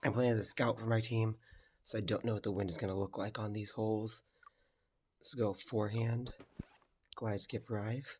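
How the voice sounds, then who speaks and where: Somewhat breathy and fairly low in pitch, a man speaks in a monotone, flat way at a moderate pace, with long, frequent pauses. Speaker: video game commentator. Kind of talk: gameplay commentary. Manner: casual.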